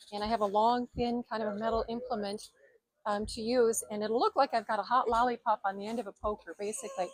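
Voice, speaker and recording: A woman talks at a very fast pace with fairly even intonation. Her pitch is fairly high, and the sound is dry and close with no echo. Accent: Minnesotan. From Minnesota. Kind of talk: interview about her craft. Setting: outdoor festival booth. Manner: hesitant, many fillers.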